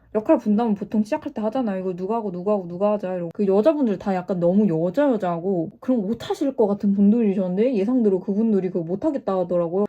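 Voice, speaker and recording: A woman's dark, mellow voice at a very fast pace, with ordinary pitch variation and hardly any pauses. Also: medium pitch for a woman. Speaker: YouTuber storyteller. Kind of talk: casual storytime while doing makeup. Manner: animated.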